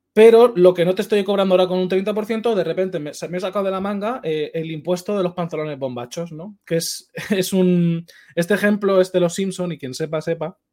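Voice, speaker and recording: Speaking at a fairly quick pace with hardly any pauses, a man has a high pitch and a dark, mellow tone. His pitch variation is ordinary. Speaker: esports podcast host. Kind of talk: casual chat.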